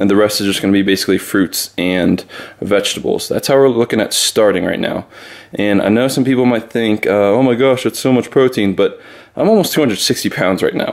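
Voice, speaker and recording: A man's pitch moves in an ordinary way as he talks fairly quickly. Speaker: fitness vlogger. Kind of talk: casual vlog chat. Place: kitchen. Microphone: phone near.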